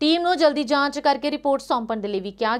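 A woman's pitch varies in an ordinary way as she talks against a quiet background. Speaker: news anchor. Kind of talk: news reading, formal broadcast bulletin. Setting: studio. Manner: steady, formal, brisk anchor delivery; even-toned, read from script. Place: studio.

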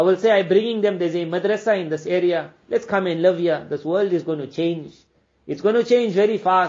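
A man's high-pitched voice at a fairly quick pace. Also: ordinary pitch variation. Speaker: Islamic scholar preacher. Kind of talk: sermon. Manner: formal, earnest.

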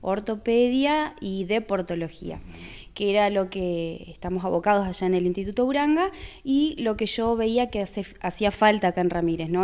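With ordinary pitch variation, this woman keeps to a moderate pace. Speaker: physiotherapist. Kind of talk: interview. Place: office.

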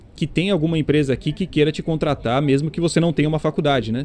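A man's voice over background music. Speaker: YouTuber and game studio worker. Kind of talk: casual vlog monologue.

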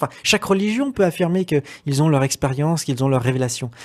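Against a quiet background, a man in an ordinary speaking voice talks at a fairly quick pace with ordinary pitch variation. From Brittany, France. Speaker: interview guest. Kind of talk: interview testimony. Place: studio. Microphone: studio mic.

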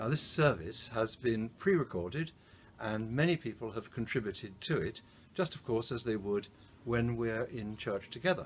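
Over light background noise, a man speaks at a moderate pace in a somewhat breathy voice. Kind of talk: service welcome address. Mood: warm, gentle, reassuring. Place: garden. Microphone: camera far.

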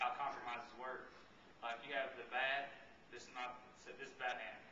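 A man's flat, monotone delivery at a moderate pace, with audible room echo and light background noise. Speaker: speaker. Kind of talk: baccalaureate speech. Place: church. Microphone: camera far.

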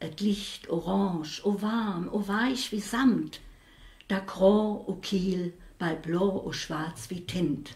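A woman's very slow speech with ordinary pitch variation. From Saarland, Saarlouis; Saarland. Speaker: dialect poet. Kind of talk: poetry reading. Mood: calm, reflective. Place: home room.

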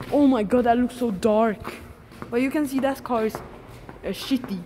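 Speaking at a fairly slow pace, a woman uses ordinary pitch variation. Light background noise can be heard. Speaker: vlogger exploring. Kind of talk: casual vlog chat. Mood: excited, slightly nervous. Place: garage. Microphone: phone near.

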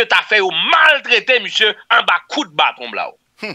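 In a quiet background, a man uses a raised, projected voice with lively intonation at a moderate pace. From Haiti. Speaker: news commentator. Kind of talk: news commentary. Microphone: studio mic.

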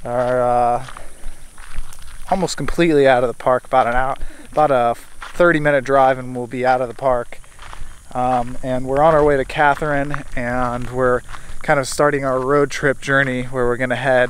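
With flat, monotone intonation and long, frequent pauses, a man talks at a moderate pace in a dry, echo-free sound with light background noise. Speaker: travel vlogger. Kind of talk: casual vlog chat. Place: street. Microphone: phone near.

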